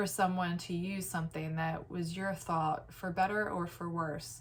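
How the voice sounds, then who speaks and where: A woman talks at a moderate pace. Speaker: vlogger. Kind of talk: casual monologue. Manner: halting.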